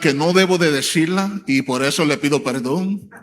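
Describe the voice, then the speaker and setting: Noticeable background noise is present. The talking proceeds fairly slowly. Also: man. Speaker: preacher and church elder. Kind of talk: sermon. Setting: church. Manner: hesitant fillers (eh).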